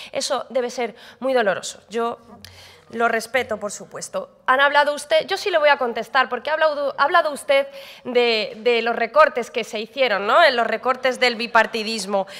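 At a moderate pace, a woman speaks in a high pitch with ordinary pitch variation and an animated, bright, sharp tone. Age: young. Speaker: regional parliament member. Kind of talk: parliamentary debate speech. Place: hall. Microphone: podium.

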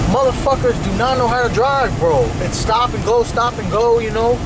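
A man is heard over loud background noise. The sound is dry, with no echo. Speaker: vlogger driving. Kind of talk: casual vlog chat. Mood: irritated ranting about drivers. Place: car. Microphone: phone near.

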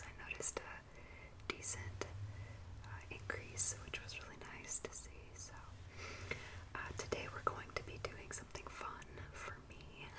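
Loud background noise runs under speech delivered at a very slow pace. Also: woman. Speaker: ASMR creator. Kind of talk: ASMR manicure video, casual talk to camera. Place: home room.

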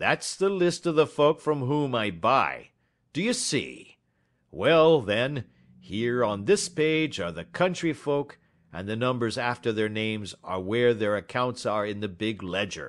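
A man puts on a character voice at a medium pitch, with very wide pitch swings. He talks at a fairly slow pace over a quiet background. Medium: read story. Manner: blunt, quarrelsome, colloquial.

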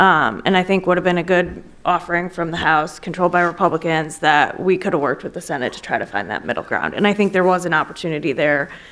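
A woman with an American accent talks at a very fast pace. Her voice sits fairly low and varies in pitch in an ordinary way. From Wisconsin, US Midwest. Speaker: former congressional policy aide, lobbyist. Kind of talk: panel discussion. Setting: stage with audience. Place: hall. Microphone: podium.

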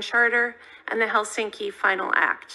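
This voice has a bright, sharp tone and an American accent. It moves at a fairly quick pace with fairly even intonation. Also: woman. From California, US. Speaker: diplomat. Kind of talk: prepared testimony. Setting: Senate committee hearing. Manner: formal. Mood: measured, solemn. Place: hall. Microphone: podium.

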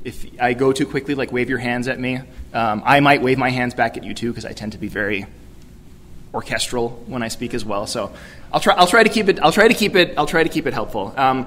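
With an American accent, the speaker moves at a fairly quick pace, using lively intonation and big swings in loudness. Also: man. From New York City. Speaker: youth ministry director; keynote speaker. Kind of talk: keynote speech. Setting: conference stage with audience. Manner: fast. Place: hall. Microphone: podium.

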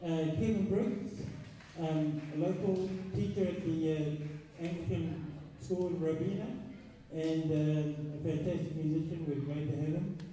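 Strong room echo and light background noise surround a man speaking at a fairly slow pace with ordinary pitch variation. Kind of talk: stage announcement. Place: stage.

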